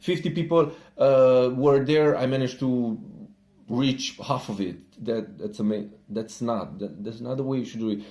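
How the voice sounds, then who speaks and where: At a moderate pace, a man with a Romanian accent speaks in a dark, mellow tone with lively intonation. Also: medium pitch for a man. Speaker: entrepreneur. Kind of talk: casual talk to camera.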